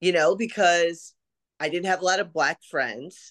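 This is a woman with an American accent. The background is quiet. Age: 40s. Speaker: event marketer. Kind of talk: casual chat.

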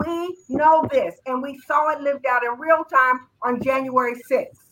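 This voice belongs to a woman. She raises and projects it. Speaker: panelist on talk show. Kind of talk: casual panel discussion.

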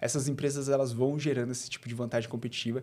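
A man on a very clean recording against a silent background. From Bauru, interior of São Paulo state, Brazil. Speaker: people and culture leader at a digital bank. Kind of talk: interview conversation.

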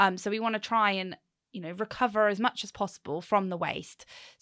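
A woman with a southern English accent at a medium pitch, fairly quick in pace, bright and sharp in tone, with fairly even intonation, in a very clean recording with a silent background and a dry, close sound with no echo. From southern England, Hampshire. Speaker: waste transfer station manager. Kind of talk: casual interview.

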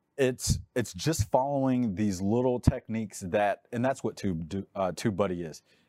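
A man's fairly low, dark and mellow voice with a Texas accent, at a moderate pace with ordinary pitch variation and big swings in loudness, on a very clean recording with a silent background and a dry, close sound with no echo. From Texas, Dallas-Fort Worth. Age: 40s. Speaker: realtor and YouTuber. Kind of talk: podcast interview.

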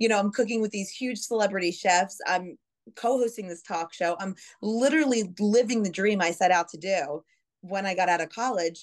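A woman with an American accent speaks at a moderate pace against a quiet background. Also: medium pitch for a woman, ordinary pitch variation. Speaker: TV news anchor and reporter. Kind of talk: casual interview chat. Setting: video call.

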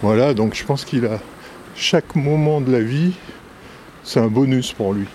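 Medium-pitched male voice at a fairly slow pace, with ordinary pitch variation, long and frequent pauses, and noticeable background noise. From Brittany, France. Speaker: writer and documentary maker. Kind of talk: interview.

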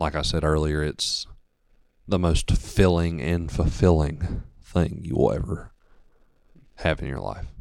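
With a Southern US accent, a man speaks at a fairly slow pace in a very deep, low pitch with vocal fry and long, frequent pauses. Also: fairly even intonation. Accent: Southern American. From US South, northeast Georgia. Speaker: church member. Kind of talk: testimony.

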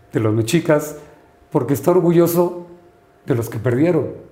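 With audible room echo, a man speaks at a fairly high pitch with ordinary pitch variation. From Sinaloa, northern Mexico. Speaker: lawyer and novelist. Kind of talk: interview.

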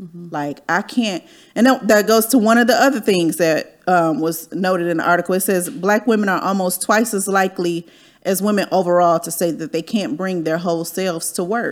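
A woman with an American accent, a normal speaking voice, medium pitch and ordinary pitch variation. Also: moderate pace. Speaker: podcast host. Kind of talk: casual chat, podcast interview. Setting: video livestream.

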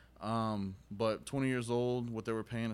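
With an American accent, a man speaks at a moderate pace in an ordinary speaking voice and a fairly low pitch. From Texas, Dallas area. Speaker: cigar company sales rep. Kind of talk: casual chat. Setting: cigar shop.

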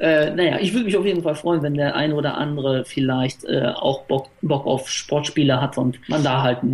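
Against noticeable background noise, a man talks at a moderate pace and fairly high pitch with ordinary pitch variation. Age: 30s. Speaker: YouTuber making sports game let's plays. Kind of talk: casual chat.

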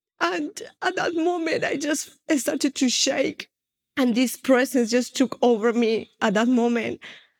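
With a Spanish accent, a woman speaks at a high pitch and a fairly slow pace with lively intonation, in a dry, close recording with no echo. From Spain. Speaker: former occultist turned prophetic minister. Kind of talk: testimony.

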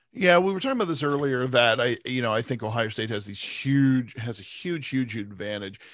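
An ordinary speaking voice moves at a fairly quick pace with hardly any pauses and lively intonation. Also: man, medium pitch for a man. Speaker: sports podcast co-host. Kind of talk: casual chat.

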